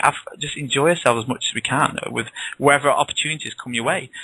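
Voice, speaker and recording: Recorded with a dry, close sound and no echo, a man with a northern English accent and fairly high pitch talks at a very fast pace with ordinary pitch variation. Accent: northern English, noticeable in the south. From northwest England. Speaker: author. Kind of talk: interview. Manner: casual, chatty with many restarts.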